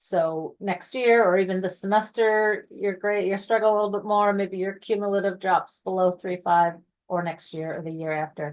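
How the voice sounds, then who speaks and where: An ordinary speaking voice moves at a moderate pace with fairly even intonation and hardly any pauses. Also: woman, medium pitch for a woman. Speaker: honor society staff presenter. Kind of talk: online info session presentation.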